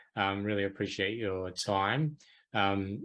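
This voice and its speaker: A man with an Australian accent speaks at a moderate pace and a fairly low pitch. His intonation is fairly even, and the background is quiet. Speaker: podcast host. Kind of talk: podcast interview.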